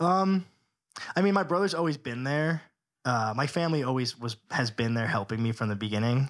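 A man speaks at a fairly quick pace in an unremarkable speaking voice. His intonation is lively. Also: medium pitch for a man. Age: 20s. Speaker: entrepreneur, gym owner. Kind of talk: casual chat.

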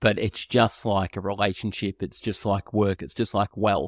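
This man's fairly low voice moves at a fairly quick pace in a flat monotone, with a dry, close sound free of echo on a very clean recording with a silent background. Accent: Australian. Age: 30s. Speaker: podcast host. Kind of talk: podcast interview.

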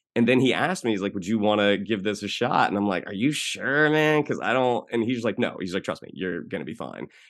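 Over a quiet background, a man with an American accent and an ordinary speaking voice talks at a medium pitch and a fairly quick pace, with lively intonation and hardly any pauses. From Orlando, Florida, US. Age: 40s. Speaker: actor and writer. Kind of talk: casual chat.

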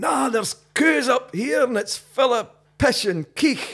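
In a put-on character voice with a Highland Scottish accent, a man shouts at a fairly slow pace, gruff yet extremely high in pitch, with lively intonation. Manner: shouting, gruff.

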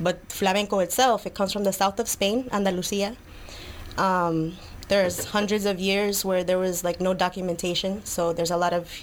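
A woman with an American accent has an ordinary speaking voice at medium pitch. She keeps a moderate pace and fairly even intonation. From New York City, Lower East Side. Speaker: flamenco dancer. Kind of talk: casual interview. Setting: studio.

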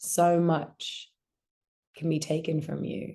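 Against a quiet background, a woman with an Australian accent speaks with fairly low pitch and a dark, mellow tone. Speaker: actor. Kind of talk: interview.

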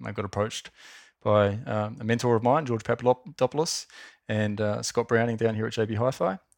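A man's very fast speech with an Australian accent, fairly low in pitch with fairly even intonation, dry and close with no echo against a quiet background. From Australia, Wollongong. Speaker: marketing executive. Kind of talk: interview.

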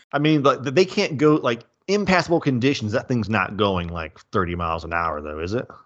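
A man with a Southern US accent, medium-pitched and animated, fairly quick with very wide pitch swings and hardly any pauses, against a quiet background. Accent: Southern US accent, audible. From US South. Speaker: movie podcast co-host. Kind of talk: casual chat.

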